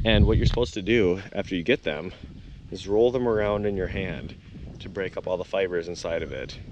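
At a fairly quick pace, a man with a fairly low voice and ordinary pitch variation speaks in a dry sound with no echo over noticeable background noise. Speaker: traveler vlogger. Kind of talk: casual vlog chat. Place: farm. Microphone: phone near.

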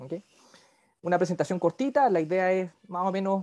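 The background is quiet. A man talks with a high pitch. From Chile, Viña del Mar; Chile. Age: 40s. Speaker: dentist and university lecturer; university lecturer. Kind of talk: lecture. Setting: video call. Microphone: video call.

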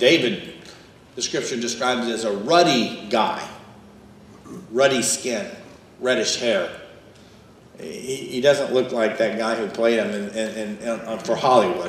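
A man talks at a fairly slow pace, with long, frequent pauses. Audible room echo and light background noise are present. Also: ordinary pitch variation. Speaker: pastor. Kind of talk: sermon. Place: church.

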